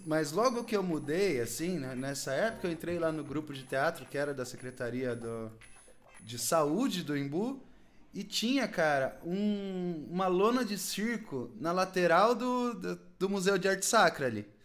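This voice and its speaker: A man at a fairly slow pace, high in pitch, with very wide pitch swings and music in the background. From Brazil, São Paulo state (Cotia). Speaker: podcast host. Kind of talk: casual chat.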